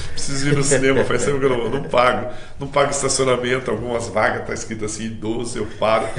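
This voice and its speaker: Over music in the background and audible room echo, a man speaks at a very fast pace. His pitch is medium and his intonation fairly even. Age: 60s. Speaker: missionary preacher. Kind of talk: interview.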